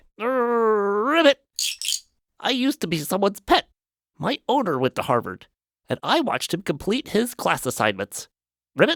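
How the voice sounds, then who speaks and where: Putting on a croaky character voice, a man speaks high in pitch with very wide pitch swings, at a moderate pace with long, frequent pauses. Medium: audio drama. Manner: punctuates speech with croaking ribbits.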